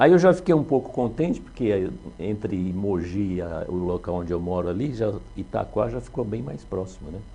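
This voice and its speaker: A man speaks with a dark, mellow tone at a moderate pace. His pitch swings very widely. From São Paulo, Brazil. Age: 60s. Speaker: retired police officer, municipal security official. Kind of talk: interview. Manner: hesitant, with fillers.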